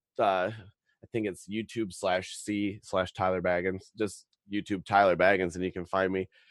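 Recorded with a dry, close sound and no echo, a man with an American accent speaks at a moderate pace. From Wisconsin, US Midwest. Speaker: political activist, podcast guest. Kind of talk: casual interview chat. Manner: animated.

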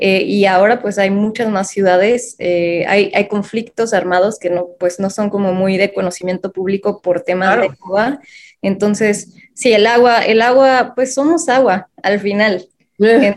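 A woman talks at a fairly slow pace in a medium pitch. Her pitch varies in an ordinary way. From Mexico City. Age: 30s. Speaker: social entrepreneur. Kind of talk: interview. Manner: hesitant, many fillers.

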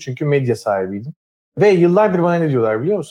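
This man has a fairly high pitch and a dark, mellow tone. His pitch swings very widely. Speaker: entrepreneur. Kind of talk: casual interview. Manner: energetic.

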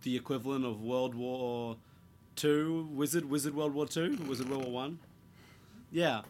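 With a New Zealand accent, a man speaks at a fairly high pitch and a moderate pace, using ordinary pitch variation. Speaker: podcast host. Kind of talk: casual chat.

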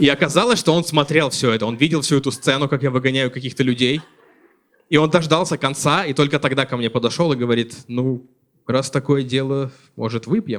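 A man speaks quickly enough, with a plain, everyday voice. His pitch sits fairly high and varies in an ordinary way. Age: 30s. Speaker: stand-up comedian. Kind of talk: stand-up comedy. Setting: stage with audience.

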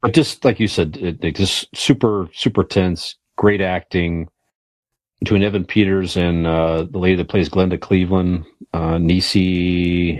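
A man with a very deep, low pitch speaks at a fairly slow pace with fairly even intonation. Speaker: podcast co-host. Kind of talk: casual banter.

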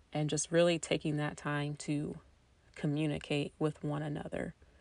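A woman speaks with a US Midwestern accent. Her pitch is very deep and low. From Indiana, US Midwest. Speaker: podcast host, mother. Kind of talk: casual monologue.

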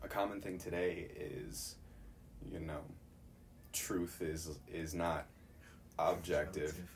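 Spoken with an American accent at a very slow pace, the speech has long, frequent pauses and audible room echo. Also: man. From Chicago. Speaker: Bible college student. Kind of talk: casual chat.

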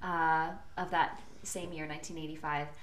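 A woman at a fairly low pitch amid noticeable background noise. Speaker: podcast co-host. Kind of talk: casual chat. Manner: laughing, playful.

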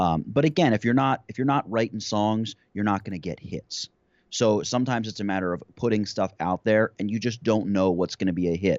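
This man has an ordinary speaking voice at a fairly low pitch. He talks at a fairly quick pace with ordinary pitch variation. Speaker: YouTube creator. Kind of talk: interview conversation.

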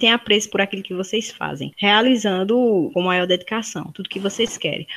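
Noticeable noise runs behind a woman talking at medium pitch. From Brazil, Paraíba (Campina Grande). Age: 20s. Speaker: university student. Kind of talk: interview.

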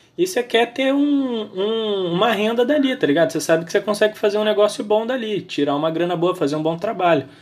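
With very wide pitch swings, a man speaks at a fairly quick pace in a voice that is high for a man. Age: 20s. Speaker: podcast host. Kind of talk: casual chat.

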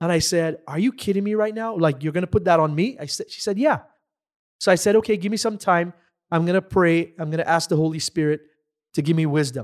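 A man speaks at a very fast pace in an energetic tone. His pitch is high, with ordinary pitch variation. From Dominica (Caribbean). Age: 30s. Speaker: entrepreneur, financial firm owner. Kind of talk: interview.

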